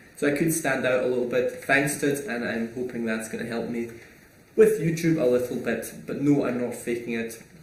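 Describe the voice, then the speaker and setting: A man at medium pitch and a fairly quick pace, ordinary pitch variation, with audible room echo and noticeable background noise. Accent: Scottish. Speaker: online entrepreneur and YouTuber. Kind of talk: casual Q&A monologue. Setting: small home room recording.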